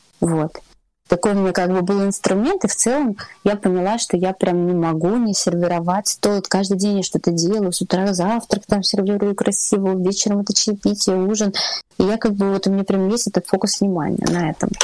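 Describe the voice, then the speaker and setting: Noticeable background noise sits behind a woman speaking at a fairly quick pace. Her medium pitch stays on fairly even intonation. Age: 30s. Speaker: table-setting stylist. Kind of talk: interview. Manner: calm, relaxed.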